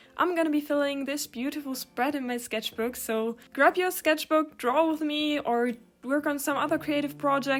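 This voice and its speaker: A woman's voice with music in the background. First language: German. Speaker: art YouTuber. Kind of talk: casual chat while drawing.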